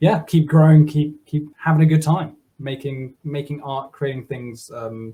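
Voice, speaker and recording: A man talks at a fairly slow pace. His voice is somewhat breathy. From Germany. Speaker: software developer; guest. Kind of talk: casual interview. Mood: relaxed, upbeat. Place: home room. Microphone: video call.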